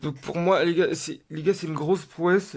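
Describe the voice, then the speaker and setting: A man talks at a moderate pace with a high pitch. His intonation stays fairly even. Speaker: gaming youtuber. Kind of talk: tutorial. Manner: halting.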